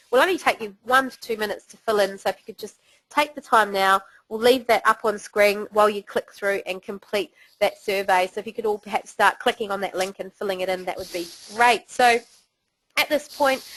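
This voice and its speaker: A woman with a New Zealand accent talks at a fairly quick pace in a fairly high voice, with ordinary pitch variation and big swings in loudness. The sound is dry and close with no echo over a quiet background. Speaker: webinar host. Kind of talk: webinar presentation. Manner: casual.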